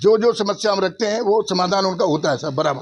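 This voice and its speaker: His intonation is lively. This man's voice sits at a high pitch. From Uttar Pradesh, Mathura area. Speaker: villager interviewed. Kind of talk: street interview. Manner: halting, with fillers.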